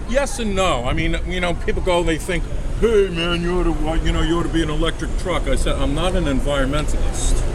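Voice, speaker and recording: A man talks fairly quickly amid noticeable background noise and audible room echo. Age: 60s. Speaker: artist and plumber. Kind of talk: casual interview. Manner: halting, many fillers.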